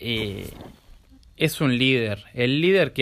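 A medium-pitched man with a Rioplatense accent. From Buenos Aires, Argentina. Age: 20s. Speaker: life coach. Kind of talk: vlog monologue. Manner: halting.

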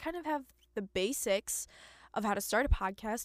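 In a very clean recording with a silent background and a dry, close sound with no echo, a woman speaks in an animated tone with lively intonation. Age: 20s. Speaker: podcast host. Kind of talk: casual monologue. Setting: home closet.

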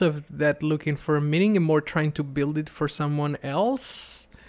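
A man with an Italian accent speaks at a fairly slow pace in a very clean recording with a silent background. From Italy. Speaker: podcast interviewer and content creator. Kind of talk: casual interview conversation. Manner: halting, self-correcting, reflective.

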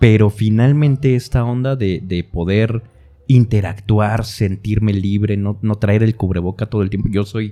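A man talks at a fairly slow pace in a fairly low pitch. His tone is dark and mellow, with ordinary pitch variation. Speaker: voice actor / announcer podcast co-host. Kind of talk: casual chat.

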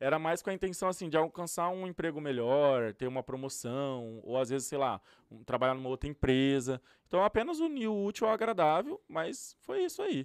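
In a plain, everyday voice, a man speaks at a moderate pace with fairly high pitch and lively intonation. The sound is dry and close with no echo, over a quiet background. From Brazil, interior of São Paulo state. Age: 30s. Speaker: youtuber and influencer. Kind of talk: casual interview chat. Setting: studio.

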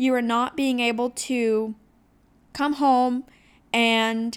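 On a very clean recording with a silent background, a woman speaks in a high pitch with an American accent. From Ohio. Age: 20s. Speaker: podcast host, small business owner. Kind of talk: solo podcast monologue. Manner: casual, chatty.

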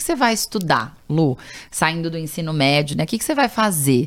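Fairly low in pitch, a woman talks at a fairly quick pace in a plain, everyday voice with lively intonation. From Brazil, São Paulo. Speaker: political candidate and nonprofit founder. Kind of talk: interview.

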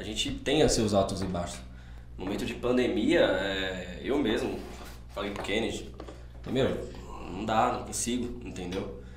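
Over noticeable background noise and audible room echo, a man speaks fairly slowly with long, frequent pauses and very wide pitch swings. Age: 20s. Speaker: bar and restaurant entrepreneur. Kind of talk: casual chat.

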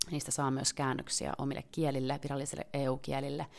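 The speech is fairly quick and monotone, with flat intonation, on a very clean recording with a silent background. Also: woman. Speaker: member of parliament and podcast host. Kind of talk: solo podcast commentary. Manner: casual, with frequent hesitations.

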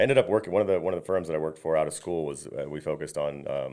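A man speaks at a very fast pace. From Tampa area, Florida (moved from Detroit area as a small child). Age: 40s. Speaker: architect and home builder. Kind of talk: casual interview chat.

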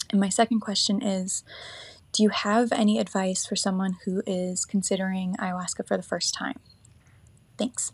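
A woman speaks at a moderate pace in a medium pitch, somewhat breathy and with fairly even intonation. She leaves long, frequent pauses. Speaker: listener asking a question. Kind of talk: recorded voice message.

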